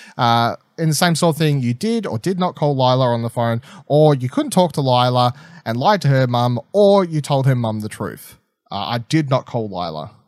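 Lively intonation from a man with an Australian accent, medium in pitch and moderate in pace, on a very clean recording with a silent background and a dry, close sound with no echo. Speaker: podcast host. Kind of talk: casual chat.

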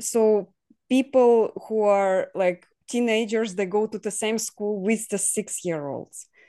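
A woman with a Russian accent talks at a very slow pace over a quiet background. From southern Ukraine (Kherson area), Russian-speaking. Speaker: guest from Ukraine. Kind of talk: casual interview. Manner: halting, many fillers and laughs.

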